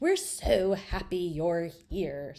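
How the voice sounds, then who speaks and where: In a put-on character voice, a woman speaks with a fairly low pitch. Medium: read story. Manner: sweet, welcoming.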